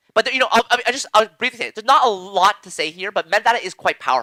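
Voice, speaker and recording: A man shouts in a raised, projected voice at a very fast pace, high in pitch with a bright, sharp tone and ordinary pitch variation. His loudness swings widely, and the sound is dry and close with no echo. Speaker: blockchain lecturer. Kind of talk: lecture. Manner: halting.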